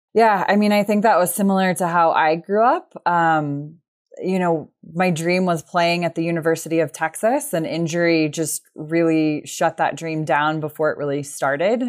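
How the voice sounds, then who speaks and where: Heard on a very clean recording with a silent background, a woman with an unremarkable speaking voice talks at a moderate pace, with a fairly low pitch and ordinary pitch variation. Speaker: sport psychologist. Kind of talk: interview.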